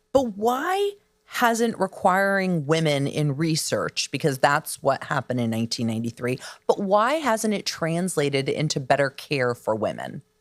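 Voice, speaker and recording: Very wide pitch swings at a moderate pace, in a dry, close sound with no echo and a very clean recording against a silent background. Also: woman, very deep, low pitch for a woman. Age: 50s. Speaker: podcast host. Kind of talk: interview conversation.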